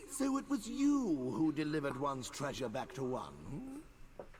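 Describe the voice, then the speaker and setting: A man performs a put-on character voice at a moderate pace. Clear background noise can be heard. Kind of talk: royal "one" speech. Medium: video game. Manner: pompous, imperious.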